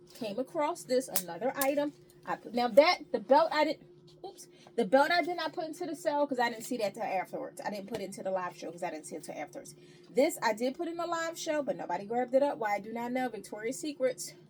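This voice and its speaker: Very fast speech from a woman with high pitch, an animated tone and very wide pitch swings, with music in the background. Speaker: thrift reseller and upcycler. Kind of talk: casual haul video talk.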